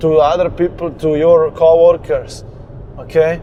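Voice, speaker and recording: Noticeable background noise sits behind a man speaking in a high pitch. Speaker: business coach. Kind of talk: motivational talk while driving. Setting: in a car.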